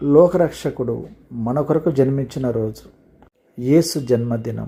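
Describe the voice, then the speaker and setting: The voice is somewhat breathy, with ordinary pitch variation and a dark, mellow tone. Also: man. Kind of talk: motivational speech, Christmas greeting message.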